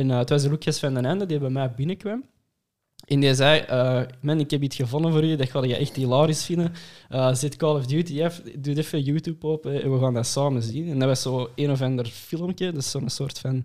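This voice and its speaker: A man's plain, everyday voice at a fairly high pitch and fairly quick pace, with fairly even intonation, in a very clean recording with a silent background. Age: 20s. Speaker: engineering student. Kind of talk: casual chat.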